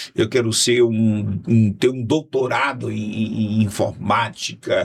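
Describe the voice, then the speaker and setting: A man speaks very slowly at a medium pitch, his somewhat breathy voice keeping a fairly even intonation. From Brazil, Fortaleza, Ceará. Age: 60s. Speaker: pastor and politician. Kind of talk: casual podcast interview. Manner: halting, many repetitions.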